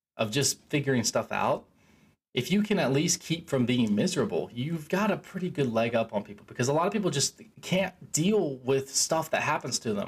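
The man's voice is fairly high and somewhat breathy. Its pitch moves in very wide swings. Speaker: self-help podcaster. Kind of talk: solo monologue. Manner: casual, rambling with filler words.

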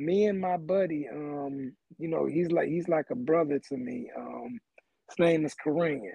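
Speaking at a fairly slow pace, a man with a fairly high pitch shows ordinary pitch variation. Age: 50s. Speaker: former football player and wrestling fan. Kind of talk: casual chat. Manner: laid-back.

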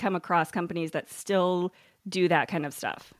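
A plain, everyday voice, a woman at a medium pitch and a fairly quick pace, dry and close with no echo, on a very clean recording with a silent background. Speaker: podcast host. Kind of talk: podcast interview, casual chat.

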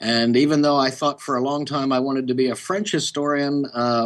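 With an American accent, a man in an unremarkable speaking voice talks at a fairly quick pace, medium in pitch with ordinary pitch variation. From Oklahoma. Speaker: history professor and author. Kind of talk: interview.

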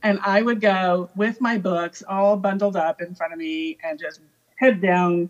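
Here is a woman with an American accent, an unremarkable speaking voice, and medium pitch. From California. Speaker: army veteran, former Russian linguist. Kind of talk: casual chat.

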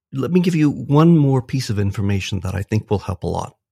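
Dry and close with no echo on a very clean recording with a silent background, a man's somewhat breathy, dark, mellow voice moves with lively intonation. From US, moved around (Minnesota, California, Illinois, Texas). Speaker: philosophy professor. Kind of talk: interview.

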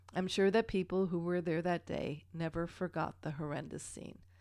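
A woman speaks at a moderate pace in a normal speaking voice, fairly low-pitched with fairly even intonation, on a very clean recording with a silent background. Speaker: podcast co-host. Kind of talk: casual chat with paranormal storytelling.

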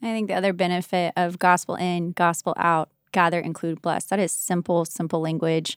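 Over a very clean recording with a silent background, a woman with an American accent speaks at a moderate pace and fairly low pitch, in a monotone, flat intonation with hardly any pauses. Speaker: church ministry leader. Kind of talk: casual chat.

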